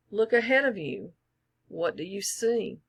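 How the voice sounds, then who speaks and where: Using a raspy, put-on character voice, a woman speaks at a fairly high pitch and a moderate pace. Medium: read story. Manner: oily, mock-polite.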